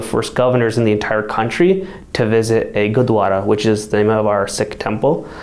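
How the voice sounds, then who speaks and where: Speaking at a moderate pace with fairly even intonation, a man is heard with audible room echo. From Colorado, US. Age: young. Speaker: mayor and teacher. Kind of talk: interview. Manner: casual, with fillers.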